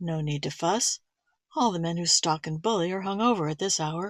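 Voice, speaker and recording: A woman puts on a character voice, pitched fairly low, and talks at a moderate pace. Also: dry, close sound with no echo. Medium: read story.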